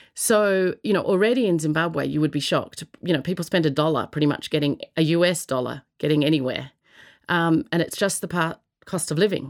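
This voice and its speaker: A woman speaks at a fairly quick pace with an Australian accent. Her pitch varies in an ordinary way, and the recording is very clean with a silent background. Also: fairly low pitch for a woman. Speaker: social entrepreneur. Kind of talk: interview answers.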